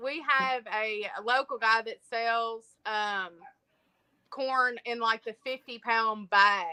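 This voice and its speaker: A woman with a strong Appalachian accent speaks very slowly in a fairly high pitch, her tone bright and sharp, with ordinary pitch variation and a dry, close sound with no echo. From eastern Kentucky, Appalachia. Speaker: homesteader. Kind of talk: casual chat. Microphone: too quiet.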